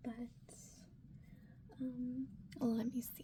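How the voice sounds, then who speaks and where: The voice is soft-spoken with a gentle tone. Noticeable background noise runs underneath. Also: woman. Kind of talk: ASMR soft-spoken manga recommendation and reading. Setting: close-mic ear-to-ear ASMR recording. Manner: soft-spoken, gentle, friendly.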